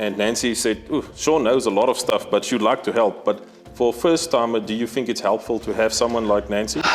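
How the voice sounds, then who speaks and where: With music in the background, a man with a non-native accent speaks at a fairly quick pace and very even loudness. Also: medium pitch for a man, ordinary pitch variation. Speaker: safari outfitter. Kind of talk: casual interview chat.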